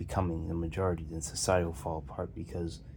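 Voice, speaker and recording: With vocal fry and a very deep, low pitch, a man talks at a very fast pace and ordinary pitch variation, audible room echo around him. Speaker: video commentator. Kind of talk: casual monologue. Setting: lying on a pillow on the floor. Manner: halting, with many fillers and repeats.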